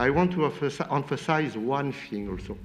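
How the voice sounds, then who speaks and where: With a French accent, a man speaks at a moderate pace using lively intonation. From France. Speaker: space industry expert on panel. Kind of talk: panel debate.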